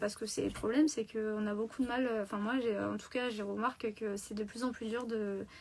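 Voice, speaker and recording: Her intonation monotone and flat, a woman speaks at fairly high pitch. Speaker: crochet artist. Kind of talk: casual live stream talk.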